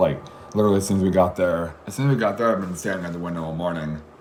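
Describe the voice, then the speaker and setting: A man talks with a very deep, low pitch. The audio carries noticeable background noise and audible room echo. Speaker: vlogger telling travel story. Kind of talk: casual personal storytelling monologue. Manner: halting, many restarts and fillers.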